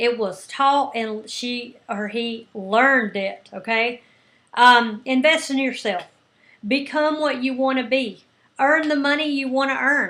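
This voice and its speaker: A woman speaks loudly, with a high pitch and a bright, sharp tone. Her pace is fairly slow and her pitch variation ordinary. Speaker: business coach. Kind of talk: coaching talk. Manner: animated.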